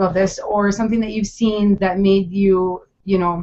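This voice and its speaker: A woman with a Minnesotan accent talks at a moderate pace, her pitch medium for a woman. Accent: Minnesota. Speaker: interviewer, charity project creator. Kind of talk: interview over video call. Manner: hesitant, many fillers.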